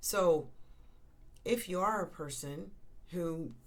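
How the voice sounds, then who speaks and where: A woman talks with ordinary pitch variation, and room echo can be heard. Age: 60s. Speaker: end-of-life doula. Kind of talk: podcast monologue. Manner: conversational, with many fillers.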